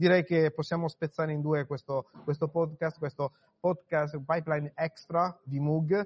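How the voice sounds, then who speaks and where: A man talks at a fairly slow pace in a fairly high pitch. His voice is somewhat breathy. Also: dry, close sound with no echo. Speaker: podcast host. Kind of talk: live event interviews. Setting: conference floor.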